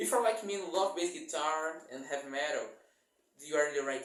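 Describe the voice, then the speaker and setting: Fairly quick, fairly high-pitched speech from a man, plus audible room echo. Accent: non-native. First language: not English. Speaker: bass guitar YouTuber. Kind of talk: casual channel introduction vlog. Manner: halting, self-correcting.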